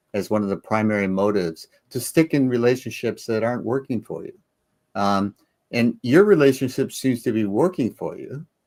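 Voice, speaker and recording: On a very clean, dry, close recording with a silent background and no echo, a man with a plain, everyday voice speaks at a medium pitch and moderate pace with lively intonation. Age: 60s. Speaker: co-host of a Q&A chat show. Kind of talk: casual chat.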